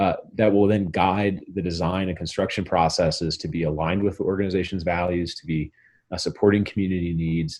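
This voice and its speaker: This man has an American accent and a very deep, low pitch. He talks at a fairly quick pace with fairly even intonation. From Montana. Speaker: architect, managing director of a design firm. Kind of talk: guest lecture interview answer.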